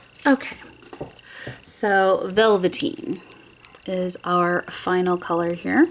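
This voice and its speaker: Amid noticeable background noise, a woman speaks at a very slow pace with lively intonation and long, frequent pauses. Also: medium pitch for a woman. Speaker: nail polish swatch video creator. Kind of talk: casual tutorial-style swatch video. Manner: casual, chatty.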